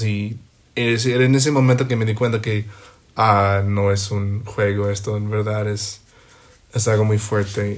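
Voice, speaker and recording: A man speaks in a fairly low voice. The room adds audible echo. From US, Ohio. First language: English (speaking Spanish). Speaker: podcast guest, host's best friend. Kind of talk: casual chat. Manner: halting.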